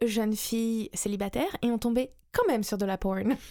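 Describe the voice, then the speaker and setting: On a very clean recording with a silent background, a woman with a dark, mellow tone and a medium pitch speaks at a fairly slow pace with fairly even intonation. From France and the US. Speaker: SEO specialist. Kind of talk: interview.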